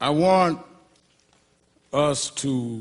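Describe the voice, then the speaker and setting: A man's fairly high-pitched voice with an American accent. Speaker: reverend, civil rights activist. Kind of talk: eulogy at a memorial service. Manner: impassioned, emphatic.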